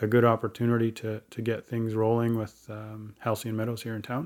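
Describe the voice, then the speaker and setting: Fairly quick and monotone, with flat intonation, a man at medium pitch speaks in a Western Canadian accent in a very clean recording with a silent background. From Chilliwack, British Columbia, Canada. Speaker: First Nations chief. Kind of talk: casual interview.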